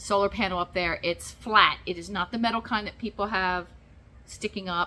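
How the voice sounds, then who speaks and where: A woman talks at a medium pitch in a bright, sharp tone with ordinary pitch variation. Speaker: vlogger. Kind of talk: casual vlog talk to camera. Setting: garage.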